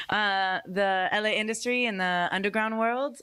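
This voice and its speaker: In an American accent, a woman speaks with a bright, sharp tone. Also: very clean recording, silent background. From Northern California, Santa Rosa. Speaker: dancer and dance teacher. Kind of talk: panel discussion.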